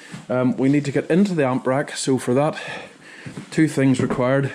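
Over noticeable background noise, a man with a Northern Irish accent speaks at medium pitch with fairly even intonation. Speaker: sound engineer. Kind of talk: vlog tutorial. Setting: equipment store. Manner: casual, halting.

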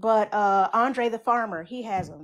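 At a fairly slow pace, a woman speaks at a medium pitch with ordinary pitch variation.

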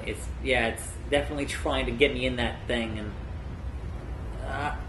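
Noticeable noise sits in the background. The man's delivery keeps a moderate pace. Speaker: gamer host. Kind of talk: gameplay explanation, casual talk. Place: home room.

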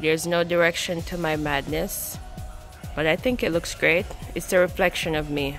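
Faint music plays behind a woman whose voice is very deep and low. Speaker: travel vlogger. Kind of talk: casual vlog chat. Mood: cheerful, amused. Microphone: phone near.

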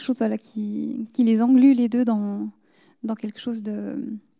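Over a quiet background, a woman with a fairly high pitch and a dark, mellow tone talks at a moderate pace. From France, South Korea and Swiss Jura; France. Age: 20s. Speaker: novelist; guest. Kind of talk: literary discussion. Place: stage. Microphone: handheld.

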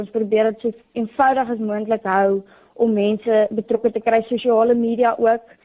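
A woman talks with a fairly high pitch. Her intonation is monotone and flat. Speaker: young entrepreneur, student. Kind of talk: radio interview.

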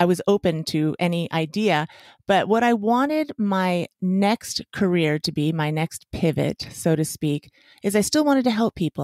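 A woman with an American accent and a plain, everyday voice speaks at a fairly low pitch with ordinary pitch variation. The sound is dry and close with no echo, on a very clean recording with a silent background. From Las Vegas, US. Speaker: chiropractor and podcaster. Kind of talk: interview.

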